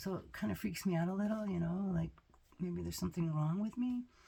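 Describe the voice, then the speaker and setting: A dark, mellow tone marks this voice. It also sounds somewhat breathy. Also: woman. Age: 60s. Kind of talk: casual talk to camera.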